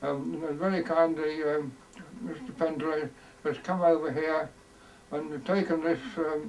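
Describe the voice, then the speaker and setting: Over noticeable background noise, a man with an East Midlands accent speaks at a fairly slow pace, leaving long, frequent pauses. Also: fairly high pitch for a man, ordinary pitch variation. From Leicestershire, England. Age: 80s+. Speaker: war veteran. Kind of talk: recorded introduction. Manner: halting.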